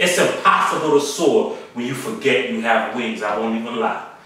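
A man's fairly high voice at a fairly slow pace, with strong room echo. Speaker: spoken word poet. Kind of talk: spoken word poetry performance. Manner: emphatic, rhythmic, performed delivery. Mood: serious, indignant. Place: empty room.

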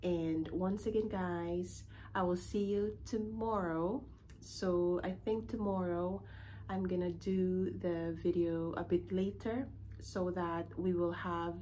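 Over light background noise, a woman speaks at a very slow pace with very even loudness. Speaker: vlogger. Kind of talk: casual vlog chat. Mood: calm, slightly concerned. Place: home room. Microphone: phone near.

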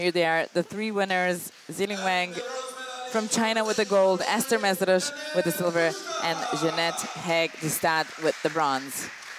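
There is noticeable background noise behind this woman's animated tone. She speaks at a medium pitch and a fairly slow pace. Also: ordinary pitch variation. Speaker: shooting sport commentator. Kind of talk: live sports commentary of a shooting final. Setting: venue at shooting competition with crowd. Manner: animated, building tension at match point.

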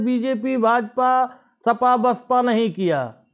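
Against a quiet background, a man speaks at an extremely high pitch. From Gonda district, Uttar Pradesh, India; Uttar Pradesh, India. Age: 30s. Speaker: local political video blogger; political commentator. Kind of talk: political monologue to camera. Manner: halting, with frequent pauses. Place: home room. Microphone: lapel.

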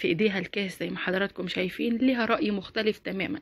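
Animated woman's voice, medium in pitch with ordinary variation, in an Egyptian accent. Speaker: YouTuber. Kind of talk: opinion vlog commentary.

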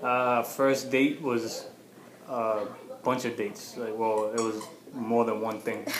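With noticeable background noise behind him, a man speaks in a monotone, flat way, leaving long, frequent pauses. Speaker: boyfriend, co-presenter. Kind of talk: casual chat. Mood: relaxed, friendly. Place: home room. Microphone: webcam.

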